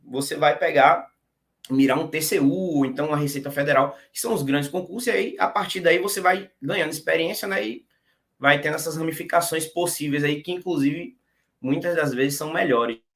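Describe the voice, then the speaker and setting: In a normal speaking voice, a man with a fairly high pitch talks at a moderate pace with ordinary pitch variation. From Brazil, interior of Bahia. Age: 30s. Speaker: exam-passer interviewee, tax auditor. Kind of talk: casual interview. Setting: live stream.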